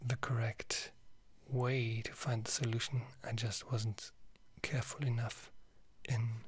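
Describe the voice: What you hear is plain reading aloud.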